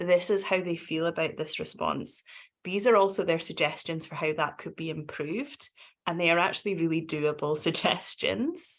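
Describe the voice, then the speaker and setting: In a Scottish accent, the speaker goes at a moderate pace with ordinary pitch variation over a quiet background. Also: woman, fairly low pitch for a woman. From Scotland. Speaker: domestic abuse charity practitioner. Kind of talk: webinar panel discussion.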